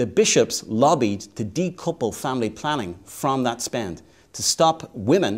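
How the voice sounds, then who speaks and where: A man with an Irish accent talks at a medium pitch, his intonation lively. The recording is very clean, with a silent background. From Ireland. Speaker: advocacy organization president. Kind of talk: interview.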